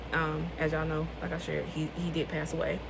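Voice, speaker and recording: In a room with audible echo and noticeable background noise, a woman with an American accent speaks at a fairly quick pace. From US South, rural North Carolina. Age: 20s. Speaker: author and vlogger. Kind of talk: casual vlog talk.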